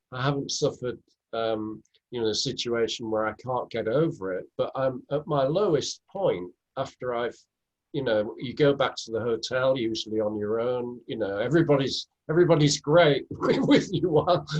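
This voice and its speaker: A normal speaking voice is heard here. It moves at a moderate pace, with ordinary pitch variation. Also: man, medium pitch for a man. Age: 60s. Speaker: author and public speaker. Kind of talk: interview conversation.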